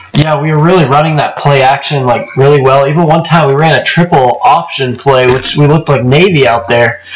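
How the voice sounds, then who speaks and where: Over noticeable background noise, a man with a fairly high pitch talks with hardly any pauses, very even loudness and ordinary pitch variation. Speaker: sports podcast host. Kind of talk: casual sports talk podcast.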